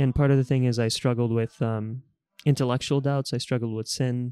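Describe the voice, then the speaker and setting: Fairly quick, monotone speech with flat intonation and a dry, close sound with no echo. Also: man. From Bulgaria, moved to Texas at ten. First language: Bulgarian. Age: 20s. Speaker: consultant, podcast guest. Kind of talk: casual interview about faith and politics.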